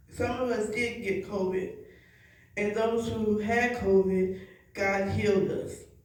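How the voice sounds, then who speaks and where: Noticeable background noise sits under a very slow, monotone delivery with flat intonation. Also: woman. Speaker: evangelist. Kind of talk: church sermon / spoken word. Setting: church congregation.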